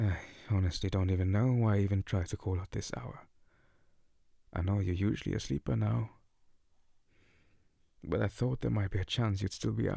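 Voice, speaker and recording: A man with a very deep, low pitch speaks at a fairly quick pace, yet with long, frequent pauses. His somewhat breathy voice has a dark, mellow tone and lively intonation. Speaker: ASMR voice performer. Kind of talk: ASMR boyfriend roleplay voicemail. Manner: soft-spoken, comforting.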